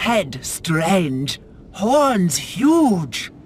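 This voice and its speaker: A put-on character voice sits at a middle pitch and swings very widely up and down. Background noise is clear. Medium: video game. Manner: broken, simple grammar.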